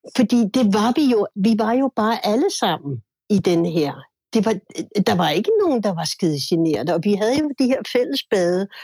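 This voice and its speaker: A woman's voice swings very widely in pitch, somewhat breathy and dark, mellow in tone. The sound is dry and close, with no echo. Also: medium pitch for a woman, moderate pace, very even loudness. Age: 60s. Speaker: musician. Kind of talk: casual chat.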